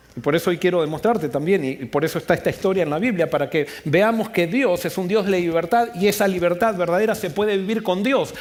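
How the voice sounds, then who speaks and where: A man speaks at a fairly quick pace with ordinary pitch variation. There is noticeable background noise. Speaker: pastor. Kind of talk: sermon. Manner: fast.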